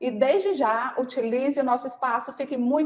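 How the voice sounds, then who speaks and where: Intonation is lively. The pace is moderate. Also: woman. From Ceará, Brazil. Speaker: podcast host, nursing consultancy teacher. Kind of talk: interview podcast.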